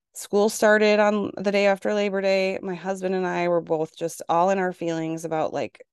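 A woman of medium pitch speaks at a moderate pace over a quiet background, the sound dry and close with no echo. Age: 40s. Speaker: podcast host and registered nurse. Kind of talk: casual monologue podcast. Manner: animated, chatty.

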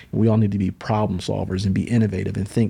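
A man with an American accent, fairly low and somewhat breathy, dark and mellow in tone, monotone and very fast, on a very clean recording with a silent background. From upstate New York (Syracuse). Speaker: nonprofit CEO and mentoring advocate. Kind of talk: interview. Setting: studio, in person.

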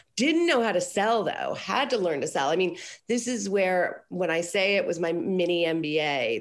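Here is a woman with a plain, everyday voice. Her pitch is fairly low, and her intonation is lively. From Colorado, US. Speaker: business coach. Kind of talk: casual interview.

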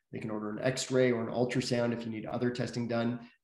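Audible room echo surrounds a man talking at a very fast pace in a monotone, flat intonation. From Toronto, Canada. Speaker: physician and health company CEO. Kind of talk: interview. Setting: home office, remote call.

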